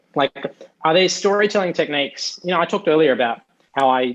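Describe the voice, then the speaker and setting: In a dry, close sound with no echo, a man speaks at a very fast pace, his pitch swinging very widely. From Australia. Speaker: journalist, TV presenter and podcast host. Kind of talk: casual interview chat.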